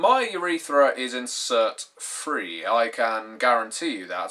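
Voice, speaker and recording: A man speaks at a medium pitch with a British accent. The background is quiet. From Britain. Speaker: YouTube tabletop gaming vlogger. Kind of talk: vlog monologue. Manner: formal. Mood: wry, mildly sarcastic. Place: home room. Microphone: webcam.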